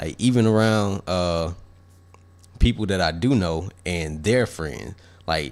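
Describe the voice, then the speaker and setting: A man with a very deep, low pitch at a very slow pace. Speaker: podcast co-host. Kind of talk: casual chat. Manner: soft-spoken.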